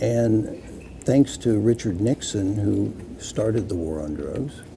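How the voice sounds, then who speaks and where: Very slowly, a man with an American accent talks at a fairly low pitch with ordinary pitch variation. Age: 70s. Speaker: retired police officer, drug policy activist. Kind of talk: interview.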